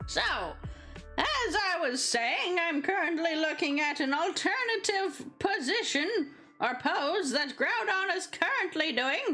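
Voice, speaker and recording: A woman does a put-on character voice with an extremely high pitch. Clear music plays in the background. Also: fairly slow pace. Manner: slow, deliberate, clueless about the drawing.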